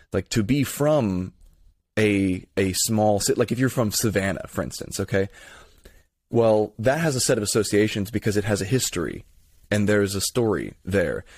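In a very clean recording with a silent background, a man with a plain, everyday voice and an American accent speaks at a moderate pace, fairly low in pitch, with ordinary pitch variation. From Florida, Tampa area. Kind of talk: casual interview conversation.

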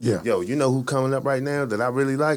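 A man with an unremarkable speaking voice and fairly high pitch at a fairly quick pace, on a very clean recording with a silent background. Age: 30s. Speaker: comedian and online radio show host. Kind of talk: casual chat.

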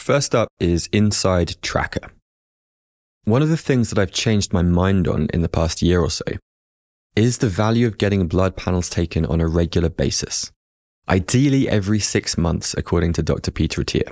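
A man with a southern English accent speaks at a very deep, low pitch with lively intonation and very even loudness. The recording is very clean with a silent background. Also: moderate pace. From England, Hertfordshire. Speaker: podcast host. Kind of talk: casual chat.

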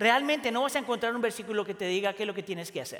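A man speaks in a raised, projected voice. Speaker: pastor. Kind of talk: sermon. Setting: church.

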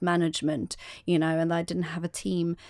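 Here a woman speaks with a Norwegian accent and a fairly low pitch. Her intonation stays fairly even. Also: very clean recording, silent background. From Norway. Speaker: singer-songwriter and podcast co-host. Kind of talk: casual interview chat.

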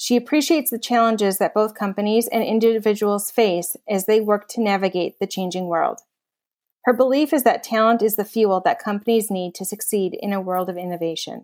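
On a very clean recording, silent background, a normal speaking voice moves at a fairly quick pace with ordinary pitch variation. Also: woman, fairly high pitch for a woman. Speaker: podcast co-host and HR consultant. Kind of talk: interview.

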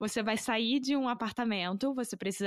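On a very clean recording with a silent background, a woman speaks at a moderate pace in a Carioca accent. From Rio de Janeiro, Brazil. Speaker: podcast host, language teacher. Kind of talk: casual interview chat.

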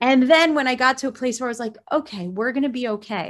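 With an American accent and a plain, everyday voice, a woman speaks at a fairly quick pace with ordinary pitch variation in a very clean recording with a silent background. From South Florida, US. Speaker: mindfulness teacher. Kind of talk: interview.

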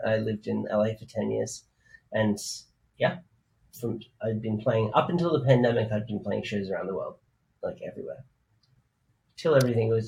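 A man speaks with an Australian accent, leaving long, frequent pauses. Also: fairly quick pace. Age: 30s. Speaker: DJ and music producer. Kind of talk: interview.

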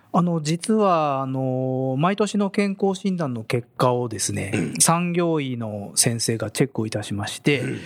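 The man's pitch swings very widely. His delivery is fairly slow. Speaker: corporate HR manager. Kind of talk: radio interview. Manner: formal.

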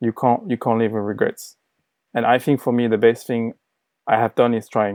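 At a moderate pace, a man speaks at medium pitch in a monotone, flat way. Long pauses come often. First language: not English. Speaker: designer, former agency owner. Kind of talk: interview.

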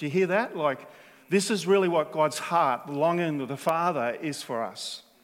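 At a moderate pace, a man speaks with an Australian accent. His pitch is high, with ordinary variation. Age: 60s. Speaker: preacher. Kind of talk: sermon.

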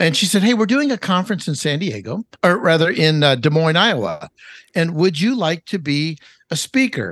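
A man with an American accent and a high pitch talks at a moderate pace with lively intonation, in a dry, close sound with no echo and a quiet background. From Los Angeles, California. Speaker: chef and cookbook author. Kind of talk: podcast interview.

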